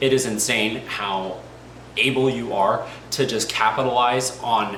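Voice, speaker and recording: An animated male voice with audible room echo and noticeable background noise. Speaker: hockey fan youtuber. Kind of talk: casual commentary monologue. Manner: fast.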